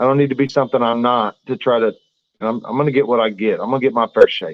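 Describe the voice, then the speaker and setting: This man speaks with a Southern US accent. His voice is medium in pitch, with fairly even intonation. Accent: southern drawl. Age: 30s. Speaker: professional boxer. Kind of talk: interview. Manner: halting.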